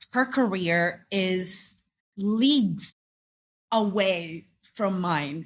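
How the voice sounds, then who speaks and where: This woman's voice sits at a medium pitch and sounds somewhat breathy. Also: very clean recording, silent background. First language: not English. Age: 30s. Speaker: actress and singer. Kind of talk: casual chat.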